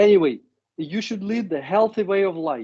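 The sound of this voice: With a dark, mellow tone, this man's voice carries a slightly husky edge.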